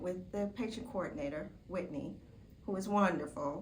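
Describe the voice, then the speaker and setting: A woman speaks with lively intonation and some vocal fry. Audible room echo surrounds her voice. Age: 60s. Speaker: surgery patient. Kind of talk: testimony. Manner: casual, with filler words.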